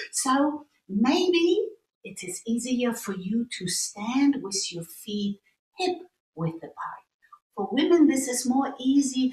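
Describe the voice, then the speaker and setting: Very slow and high-pitched, a woman speaks. Her pitch swings very widely. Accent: German. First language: German. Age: 60s. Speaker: qigong teacher. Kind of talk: tutorial.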